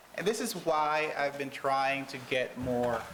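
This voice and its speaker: Over noticeable background noise, a man with a medium pitch speaks with ordinary pitch variation. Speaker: conference moderator. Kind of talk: panel moderation. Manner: loud. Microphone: speaking without a mic at first.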